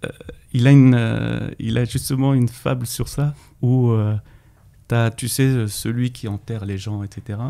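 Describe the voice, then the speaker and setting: Flat, monotone intonation carries speech that unfolds very slowly. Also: man, medium pitch for a man. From Paris, France. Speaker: former trader, finance commentator. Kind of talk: casual interview. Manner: halting, many repetitions.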